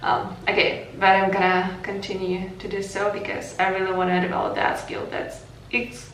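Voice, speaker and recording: A woman with a Ukrainian accent at a moderate pace, with audible room echo and noticeable background noise. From Ukraine. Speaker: vlogger. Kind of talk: casual chat.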